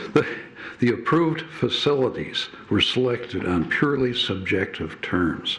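A medium-pitched male voice with ordinary pitch variation, audible room echo and noticeable background noise. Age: 80s+. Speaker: public commenter at city meeting. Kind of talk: public comment speech. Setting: city council chamber. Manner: halting.

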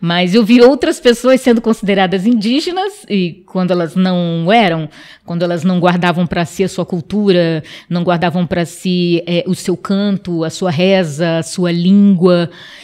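Against a quiet background, a woman speaks at a fairly slow pace in a dark, mellow tone with ordinary pitch variation. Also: medium pitch for a woman. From Amapá, northern Brazil (Wayampi village); Amapá, Brazil. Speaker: interview guest. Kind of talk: interview. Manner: hesitant, many fillers. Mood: earnest, sometimes smiling. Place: studio. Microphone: studio mic.

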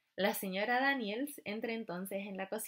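With ordinary pitch variation, this is reading aloud in a natural voice.

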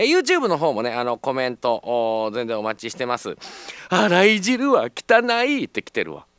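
A man with a Kansai accent speaks in an animated tone with big swings in loudness, the sound dry with no echo over a quiet background. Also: moderate pace. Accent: Kansai Japanese. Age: 40s. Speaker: radio host. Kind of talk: live radio talk. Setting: radio studio. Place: studio. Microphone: studio mic.

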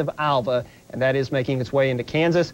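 This man speaks at a fairly quick pace with fairly even intonation. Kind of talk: weather bulletin. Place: studio.

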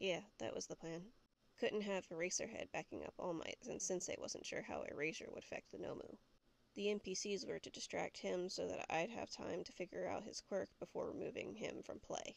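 In a put-on character voice, the speaker mumbles along at a moderate pace. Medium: read story. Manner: low, flat, sneering mumble.

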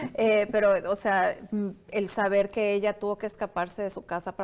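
The woman talks at a moderate pace. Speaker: entrepreneur; interview guest. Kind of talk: interview. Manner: halting, many fillers. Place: studio. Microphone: lapel.

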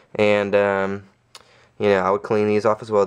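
A man's fairly low voice against a quiet background. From Louisiana. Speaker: YouTuber reviewing soccer cleats. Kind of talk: casual product review video. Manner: casual, many fillers and hesitations. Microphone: phone near.

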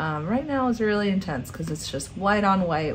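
A woman speaks in a relaxed tone at a fairly low pitch, with very wide pitch swings and a fairly quick pace. Light background noise is audible. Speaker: graphic design instructor. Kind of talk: software tutorial narration. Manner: casual, relaxed. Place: home room.

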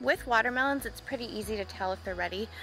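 A woman speaks very fast in a dry sound with no echo. Faint music plays in the background. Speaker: homestead gardening vlogger. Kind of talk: casual vlog chat. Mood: cheerful, upbeat. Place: garden. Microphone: phone near.

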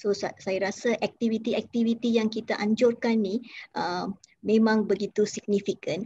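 A woman speaks at a moderate pace in a somewhat breathy voice, with light background noise. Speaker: interviewer. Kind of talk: formal interview. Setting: video call. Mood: polite, respectful. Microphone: video call.

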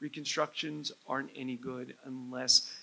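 A man's flat, monotone delivery at a moderate pace, with an American accent. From New Jersey. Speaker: head and neck surgeon. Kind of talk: medical lecture. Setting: conference stage with audience. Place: hall. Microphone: lapel.

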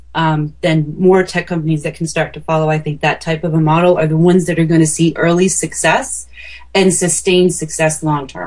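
A somewhat breathy woman with an American accent and a very deep, low pitch, at a fairly quick pace in a monotone, flat intonation. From small-town US. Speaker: marketing consultant. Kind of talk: interview podcast.

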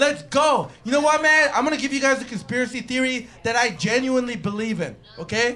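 Fairly quick, animated delivery in a raised, projected voice, with hardly any pauses and ordinary pitch variation. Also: man, extremely high pitch for a man. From western Canada. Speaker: comedian. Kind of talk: improvised stand-up. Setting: stage with audience. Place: stage. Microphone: handheld.

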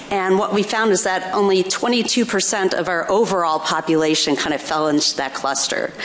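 A woman at medium pitch and moderate pace, with ordinary pitch variation and hardly any pauses. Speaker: research evaluator. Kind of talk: panel discussion. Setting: stage with audience. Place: stage. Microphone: podium.

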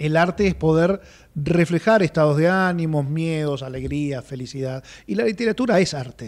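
A man talks in a Rioplatense accent at a moderate pace. His pitch is fairly high, with ordinary variation. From Argentina, Buenos Aires area; Argentina. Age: 50s. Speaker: writer; interviewee. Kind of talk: interview. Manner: halting. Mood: personal, emotional recollection. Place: studio. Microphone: studio mic.

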